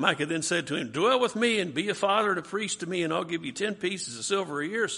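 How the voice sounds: Ordinary shifts in pitch mark this natural reading voice.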